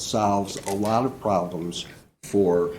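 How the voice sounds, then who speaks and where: Audible room echo surrounds a man's fairly low voice, which has a dark, mellow tone. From Chicago area. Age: 70s. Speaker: public commenter at park board meeting. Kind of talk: public comment. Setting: public meeting room. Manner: halting, many fillers.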